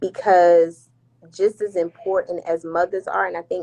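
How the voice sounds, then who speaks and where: With a plain, everyday voice, a woman speaks at a moderate pace and a fairly low pitch. Her pitch variation is ordinary, and the sound is dry and close with no echo. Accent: American. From New Jersey (Irvington / Newark area). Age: 20s. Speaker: flight attendant. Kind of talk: casual podcast interview. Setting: Instagram live stream.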